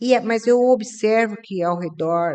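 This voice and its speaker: A woman with lively intonation at a very slow pace. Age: 60s. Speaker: podcast host, business owner. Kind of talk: podcast interview.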